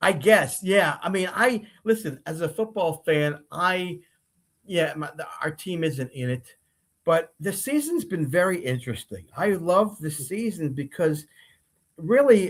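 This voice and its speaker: At a fairly slow pace, a man with an American accent talks in a high voice with lively intonation. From New Jersey. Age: 70s. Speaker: sports talk show host. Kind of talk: casual sports chat. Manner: halting, many repetitions.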